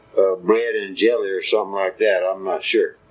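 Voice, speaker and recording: A man speaks in a Central Texas accent. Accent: Central Texas rural Southern. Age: 70s. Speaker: retired farmer. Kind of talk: oral history recording. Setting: at home. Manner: slow, rambling with fillers.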